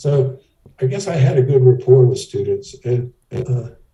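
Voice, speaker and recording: A man's medium-pitched voice with fairly even intonation over music in the background. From US South. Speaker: professor. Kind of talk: oral history interview. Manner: hesitant.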